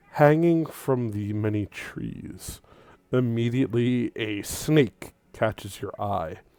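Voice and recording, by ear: A natural voice, reading aloud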